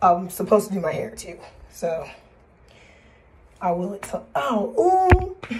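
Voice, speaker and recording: A woman speaks at a fairly slow pace, with long, frequent pauses and big swings in loudness. Noticeable background noise is present. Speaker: spiritual practice vlogger. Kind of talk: casual vlog. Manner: halting.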